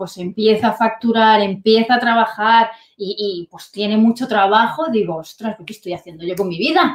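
With a normal speaking voice, a woman talks at medium pitch and a moderate pace with ordinary pitch variation. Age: 30s. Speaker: online business entrepreneur, former dental clinic salesperson. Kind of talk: interview.

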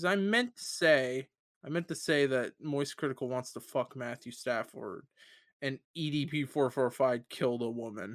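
A man's normal speaking voice at medium pitch, moderate pace and ordinary pitch variation, in a very clean recording with a silent background and a dry, close sound with no echo. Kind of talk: raunchy stand-up style comedy riffing, crude bits and impressions. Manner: excitable, laughing at own jokes, frequently interrupted by cohosts.

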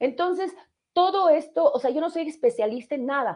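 Her tone animated and her pitch high, a woman's voice moves through very wide pitch swings. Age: 40s. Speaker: radio host. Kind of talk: casual live radio chat.

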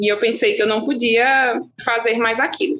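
The speaker moves at a moderate pace with lively intonation. Noticeable background noise runs underneath. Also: woman. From Brazil, Petrolina, Pernambuco. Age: 30s. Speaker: resident doctor. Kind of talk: interview.

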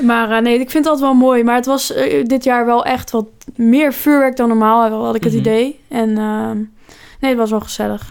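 Her pitch high, a woman talks at a moderate pace with ordinary pitch variation and very even loudness. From Netherlands, near Rotterdam. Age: 20s. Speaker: podcast co-host. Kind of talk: casual chat.

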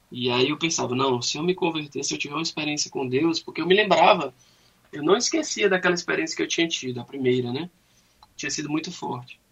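This man talks at a very fast pace in a fairly high pitch, with ordinary pitch variation. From Fortaleza, Brazil. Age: 30s. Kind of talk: radio interview, faith testimony.

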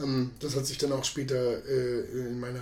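Against noticeable background noise and audible room echo, a man talks at a medium pitch. His pace is moderate and his intonation monotone and flat. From Lower Saxony, Germany. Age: 40s. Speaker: podcast guest, bar owner. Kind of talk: casual interview conversation.

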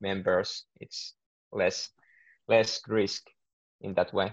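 A man with a Finnish accent speaks at a very slow pace, his voice dry and close with no echo against a quiet background. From Finland. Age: 20s. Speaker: business student and entrepreneur. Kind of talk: interview.

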